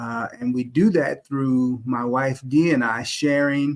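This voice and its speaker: On a very clean recording with a silent background, a man talks with fairly even intonation in an ordinary speaking voice. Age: middle-aged. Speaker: YouTube host. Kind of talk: live stream discussion.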